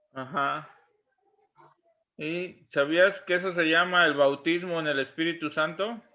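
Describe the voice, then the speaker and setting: Speaking at a fairly slow pace with long, frequent pauses, this man has a high pitch and fairly even intonation. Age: 60s. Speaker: church interviewer. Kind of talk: interview.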